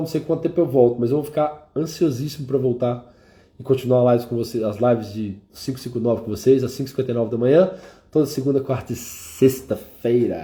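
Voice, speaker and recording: A man's somewhat breathy voice of medium pitch and dark, mellow tone, at a fairly quick pace with ordinary pitch variation. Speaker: mentor and live stream host. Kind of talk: live stream talk with prayer. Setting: live stream.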